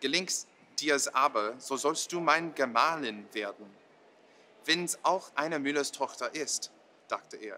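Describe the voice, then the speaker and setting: Over light background noise, a man with a fairly high pitch and a bright, sharp tone speaks very slowly, using ordinary pitch variation and long, frequent pauses. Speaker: storyteller. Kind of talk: bedtime story telling, calm and measured, in a soothing storyteller's cadence. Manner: slow, gentle, expressive storybook delivery with a hush on the dramatic parts; friendly and casual in the English intro and summary. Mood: calm, storytelling tone. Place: hall.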